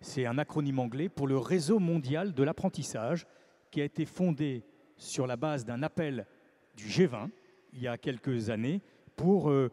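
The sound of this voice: At a moderate pace, a man speaks with a medium pitch, lively intonation and a dark, mellow tone.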